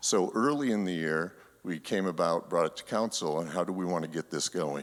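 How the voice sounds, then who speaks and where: At a moderate pace, a man speaks in a shaky voice with a very deep, low pitch. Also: very clean recording, silent background. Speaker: church council member. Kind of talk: congregational meeting presentation. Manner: halting.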